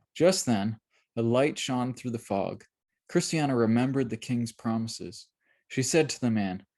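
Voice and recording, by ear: The background is quiet while someone is reading aloud in a natural voice.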